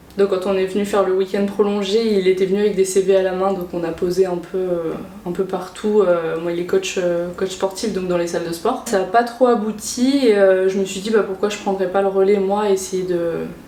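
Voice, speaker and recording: Over noticeable background noise, a woman speaks at a medium pitch and moderate pace with hardly any pauses and monotone, flat intonation. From Réunion. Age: 20s. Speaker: cross-border worker, import-export coordinator. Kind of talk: interview. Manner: hesitant, many fillers.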